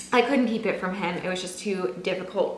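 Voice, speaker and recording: A woman speaks at a fairly quick pace in an animated tone. Noticeable background noise and audible room echo fill the recording. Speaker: lifestyle vlogger. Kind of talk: casual vlog talk to camera. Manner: fast.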